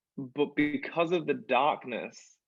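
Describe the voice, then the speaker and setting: This is a man speaking. He has an English accent. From England. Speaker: musical theatre performer. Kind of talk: interview. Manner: animated.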